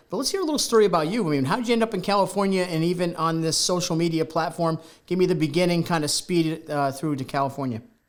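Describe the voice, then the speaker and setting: A man's high voice at a very fast pace, with ordinary pitch variation and noticeable background noise. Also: hardly any pauses. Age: 50s. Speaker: talk show host. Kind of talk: casual interview. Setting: studio.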